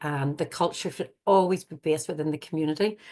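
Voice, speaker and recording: Her pitch very deep and low, a woman speaks with an Irish accent at a fairly quick pace with ordinary pitch variation over a quiet background. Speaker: forest school educator. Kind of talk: webinar presentation. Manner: fast; hesitant, many fillers.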